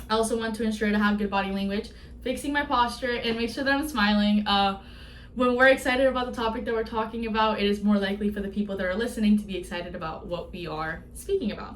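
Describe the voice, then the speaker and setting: A woman speaks at a very fast pace with ordinary pitch variation, with audible room echo and noticeable background noise. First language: not English. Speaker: student. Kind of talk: class presentation. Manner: some vocal fillers and slip-ups.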